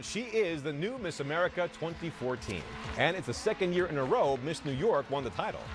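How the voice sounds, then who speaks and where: With music in the background, a man talks at a fairly quick pace in a high pitch that makes very wide swings. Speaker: TV news anchor. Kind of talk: TV news anchor read.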